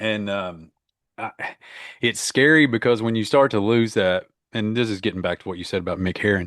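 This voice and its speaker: A man speaks at a fairly quick pace with long, frequent pauses against a quiet background. His pitch is fairly low, with ordinary pitch variation. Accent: American. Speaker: author and professor. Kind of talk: casual chat.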